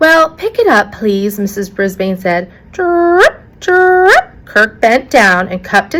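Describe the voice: Someone reads aloud. The reading is plain.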